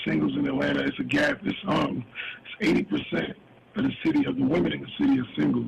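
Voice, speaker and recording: Fairly quick speech from a man, noticeable background noise behind him. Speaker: businessman and author. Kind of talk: interview.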